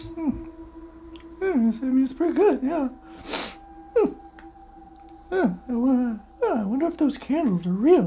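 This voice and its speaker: In a put-on character voice with a high pitch, the speaker moves at a fairly slow pace with long, frequent pauses over clear background noise. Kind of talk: comedy sketch. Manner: hesitant, halting.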